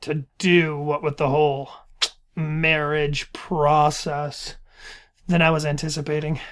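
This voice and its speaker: With an American accent, the speaker talks very slowly and monotonously in a flat way, in a very clean recording with a silent background. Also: man, fairly high pitch for a man. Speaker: podcast co-host. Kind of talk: casual chat.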